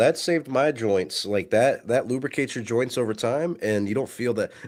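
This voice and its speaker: On a very clean recording with a silent background, a man with a plain, everyday voice and medium pitch speaks at a fairly quick pace with hardly any pauses and lively intonation. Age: young. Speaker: podcast co-host. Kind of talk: casual chat.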